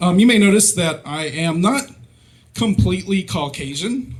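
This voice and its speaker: There is audible room echo. A man speaks in an American accent. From Mississippi, US South. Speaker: stand-up comedian. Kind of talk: stand-up. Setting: stage with audience. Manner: halting, many fillers.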